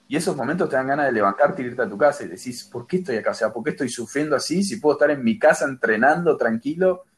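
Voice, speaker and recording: Using a normal speaking voice, a man talks at a fairly quick pace with lively intonation. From Argentina. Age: 20s. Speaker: athlete. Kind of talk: interview.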